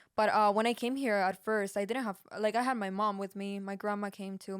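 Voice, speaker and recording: A woman speaks with a Peruvian accent at a medium pitch and a fairly quick pace. Her intonation is fairly even, and the recording is very clean with a silent background. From Peru, Lima. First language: Spanish. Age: 20s. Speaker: podcast co-host, music engineer. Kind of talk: casual chat.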